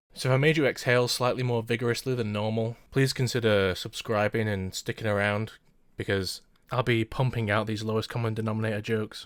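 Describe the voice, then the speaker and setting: This man talks at a fairly quick pace with a medium pitch and fairly even intonation. The recording is very clean, the background silent. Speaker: anime reviewer. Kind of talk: scripted commentary. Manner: monotone; droning.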